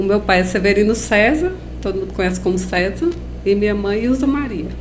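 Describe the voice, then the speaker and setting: A woman with a Paraíba accent talks at a fairly quick pace amid noticeable background noise and audible room echo. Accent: Paraíba northeastern accent, kept. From Paraíba, Brazil (Campina Grande). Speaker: biologist and lab owner. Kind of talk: interview.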